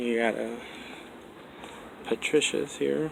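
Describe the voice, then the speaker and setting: A man talks at a medium pitch with an American accent. Noticeable background noise runs underneath. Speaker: mall explorer vlogger. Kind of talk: walkthrough narration. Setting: indoors in a nearly empty mall.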